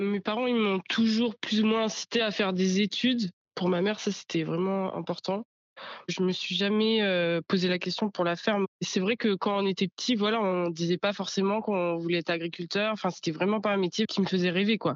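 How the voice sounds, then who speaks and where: This is a woman with a plain, everyday voice, medium in pitch and moderate in pace. Her loudness is very even and her intonation fairly even. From Normandy, France (Bocage virois). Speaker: young farmer. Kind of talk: interview testimony.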